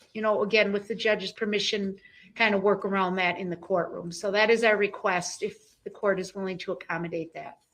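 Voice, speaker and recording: At a fairly quick pace, a woman speaks in a monotone, flat intonation. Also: medium pitch for a woman. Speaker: prosecutor. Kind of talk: courtroom proceedings. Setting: courtroom. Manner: loud.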